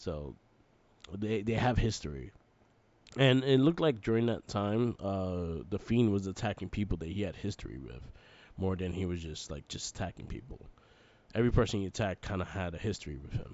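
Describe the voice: The voice has a slightly mellow tone, moving at a moderate pace with lively intonation. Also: man, low pitch for a man.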